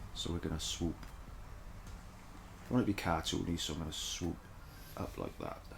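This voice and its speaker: A man mumbles at a moderate pace. His voice is somewhat breathy. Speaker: caricature artist. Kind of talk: drawing tutorial. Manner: thinking aloud, mumbling to self; casual, hesitant.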